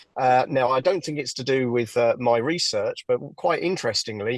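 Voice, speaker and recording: Recorded very cleanly against a silent background, a man talks at a moderate pace in a medium pitch. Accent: English. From southern England, near London. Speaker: hypnotherapist. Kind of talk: interview. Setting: podcast interview. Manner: halting, many fillers.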